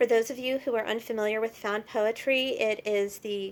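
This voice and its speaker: She has a plain, everyday voice with an American accent and medium pitch. Her intonation stays fairly even. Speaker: poet. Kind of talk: introducing poems to camera.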